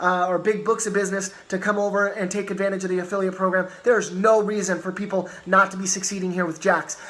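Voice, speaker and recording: A man's high voice at a fairly quick pace, with noticeable background noise. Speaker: network marketing team leader. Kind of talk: motivational training talk. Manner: fast; animated.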